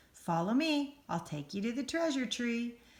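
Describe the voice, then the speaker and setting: A woman does a put-on character voice, high in pitch, at a moderate pace. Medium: read story. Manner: silly.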